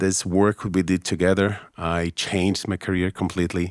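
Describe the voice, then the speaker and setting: With a Brazilian Portuguese accent, a man speaks at a fairly slow pace in a very deep, low pitch, monotone and flat, with hardly any pauses and a dry, close sound with no echo. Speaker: business trainer, former lawyer. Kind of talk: interview conversation. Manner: halting, self-correcting.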